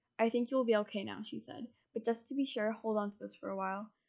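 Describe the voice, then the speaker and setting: Talking at a very fast pace, a woman speaks at a fairly high pitch. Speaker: podcast co-host. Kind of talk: casual chat with story reading. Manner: animated, joking.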